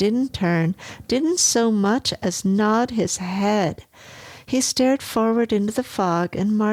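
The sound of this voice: Someone reads in an unforced voice. The pitch moves up and down an ordinary amount.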